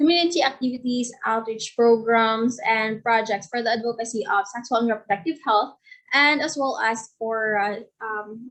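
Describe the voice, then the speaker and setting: Her pitch is fairly high, with ordinary pitch variation. The woman speaks in a Filipino accent at a moderate pace. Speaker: youth volunteer and peer educator. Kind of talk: panel presentation.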